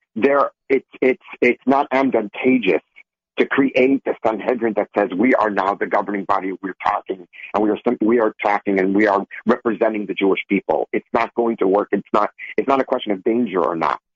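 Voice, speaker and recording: This is an ordinary speaking voice from a man with an American accent. His pitch is fairly low, with ordinary pitch variation. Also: fairly quick pace. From Israel (Beersheba), earlier Minnesota. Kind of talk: radio panel discussion.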